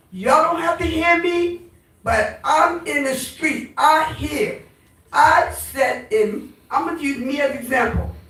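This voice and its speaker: A woman's high-pitched voice carries audible room echo. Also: lively intonation, fairly slow pace. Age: 70s. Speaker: community activist. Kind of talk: town hall comment. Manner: animated.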